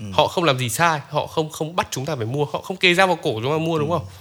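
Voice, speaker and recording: A man speaks at a very fast pace with lively intonation. His tone is bright and sharp. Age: 20s. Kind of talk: casual chat.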